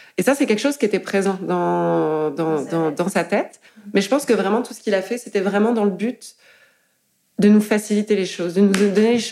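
With a dark, mellow tone, a woman talks at a moderate pace and medium pitch. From France. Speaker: artist and tattooist. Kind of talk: interview conversation. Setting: living room. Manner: halting, many fillers.

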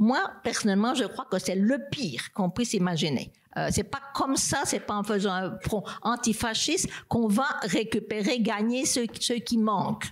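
It's an unremarkable speaking voice: a woman at a moderate pace with a fairly high pitch and ordinary pitch variation. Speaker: political philosopher and professor. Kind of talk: panel debate. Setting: stage with audience.

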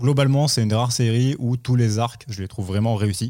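The recording is very clean with a silent background. A man with a normal speaking voice talks at a moderate pace with ordinary pitch variation. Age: 20s. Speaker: publishing marketing manager. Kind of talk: podcast interview.

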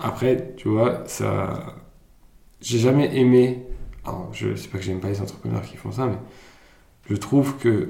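A man speaks at a fairly slow pace in a dark, mellow tone with vocal fry, big swings in loudness and long, frequent pauses, amid audible room echo. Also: medium pitch for a man, ordinary pitch variation. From Germany, then France from age 11. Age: 30s. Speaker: entrepreneur. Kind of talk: interview.

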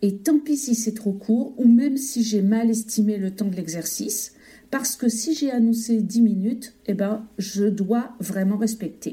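A woman at a very slow pace, fairly high in pitch, with ordinary pitch variation. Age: 50s. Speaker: teacher. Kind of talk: testimony.

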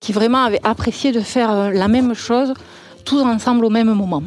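A normal speaking voice with ordinary pitch variation comes through a very clean recording with a silent background. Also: woman. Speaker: school teacher. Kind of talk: casual interview.

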